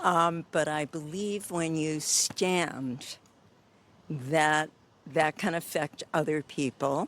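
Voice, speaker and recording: A very slow woman's voice, very deep and low in pitch, with fairly even intonation. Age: 80s+. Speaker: activist. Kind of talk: street interview.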